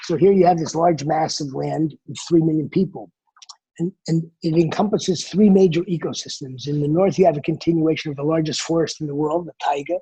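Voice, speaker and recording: This man's voice sits fairly high in pitch. He talks at a fairly quick pace. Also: fairly even intonation. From US Northeast, New Jersey. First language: Mongolian. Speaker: travel company founder. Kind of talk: interview. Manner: halting, many false starts.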